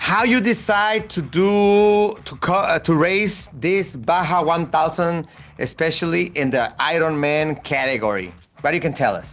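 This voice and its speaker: A man with a Spanish accent speaks fairly slowly in a high voice, his intonation lively. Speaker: motorsport show host. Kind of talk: interview. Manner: halting.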